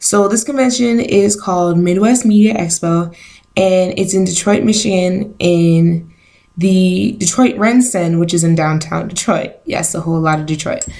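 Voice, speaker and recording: A woman speaks in a somewhat breathy, medium-pitched voice, keeping a moderate pace, her pitch varying in an ordinary way. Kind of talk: casual talk to camera. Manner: hesitant, lots of filler words.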